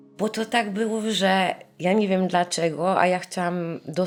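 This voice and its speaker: A woman talks fairly slowly with fairly level intonation on a very clean recording where the background is silent. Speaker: survivor's relative. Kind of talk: interview testimony. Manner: halting, searching for words.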